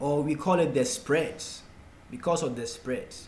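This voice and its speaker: In a room with audible echo, a man with a Ghanaian accent speaks at a moderate pace with lively intonation. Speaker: forex trading tutor. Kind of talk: tutorial.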